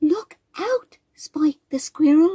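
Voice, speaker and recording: This put-on character voice sounds female and squeaky. Its pitch is extremely high for a woman. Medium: read story.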